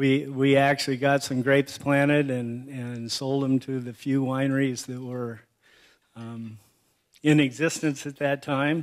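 The background is quiet. A man speaks at a fairly slow pace in a monotone, flat intonation. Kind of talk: acceptance speech with anecdotes. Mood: warm, humorous. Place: hall. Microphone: podium.

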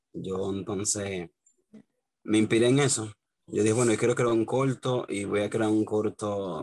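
Speaking with a Dominican accent, a man uses a fairly low pitch and fairly even intonation at a moderate pace, with light background noise. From Dominican Republic. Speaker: independent filmmaker; guest. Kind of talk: interview. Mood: relaxed, smiling. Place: home room. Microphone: video call.

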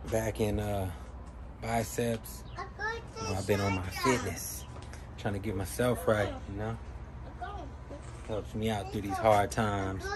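Crowd noise fills the background as a man talks at a fairly slow pace. He leaves long, frequent pauses. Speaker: vlogger. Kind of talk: casual vlog chat. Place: garden. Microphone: phone near.

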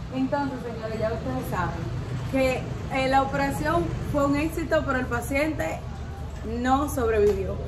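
Moderate-paced speech over noticeable background noise. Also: woman. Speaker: vlogger. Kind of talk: casual vlog chat. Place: street.

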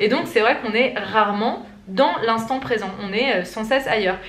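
A woman's fairly high voice at a fairly quick pace, with ordinary pitch variation and audible room echo. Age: 20s. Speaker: lifestyle vlogger. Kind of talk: casual vlog talk to camera; casual vlog chat. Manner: hesitant, many fillers. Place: home room. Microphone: phone near.

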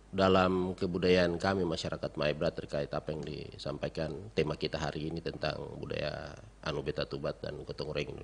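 A man's very deep, low voice with fairly even intonation over light background noise. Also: moderate pace, hardly any pauses. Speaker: university lecturer. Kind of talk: radio interview. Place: studio. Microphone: studio mic.

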